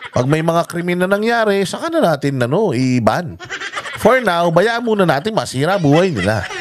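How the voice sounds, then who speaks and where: The speaker has an animated tone and very wide pitch swings, talking at a moderate pace over noticeable background noise. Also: man, high pitch for a man. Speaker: political commentary vlogger. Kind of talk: casual news reaction vlog.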